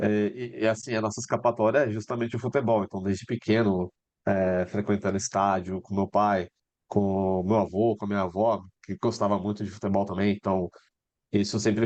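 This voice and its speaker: Speaking with monotone, flat intonation, a man uses a fairly low pitch. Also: dry, close sound with no echo. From Brazil, interior of São Paulo state (Taubaté). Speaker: football scout, former journalist. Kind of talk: interview. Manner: hesitant, many fillers.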